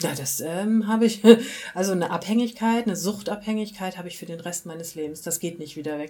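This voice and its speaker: This woman has a plain, everyday voice, fairly low in pitch, with ordinary pitch variation. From rural Germany. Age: 40s. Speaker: recovering alcoholic interviewee. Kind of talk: personal testimony interview.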